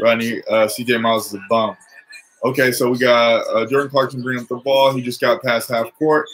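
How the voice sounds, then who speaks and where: A man speaks with fairly even intonation at a moderate pace. Light background noise sits behind him. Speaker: sports fan commentator. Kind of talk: live sports commentary, casual play-by-play to a tiny live chat. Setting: live stream while watching the game. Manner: casual, off-the-cuff, play-by-play with jokes and reactions. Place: home room. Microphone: webcam.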